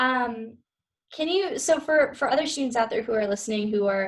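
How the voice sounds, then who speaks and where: A woman with a somewhat breathy voice speaks with ordinary pitch variation. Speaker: podcast co-host, student. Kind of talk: casual interview.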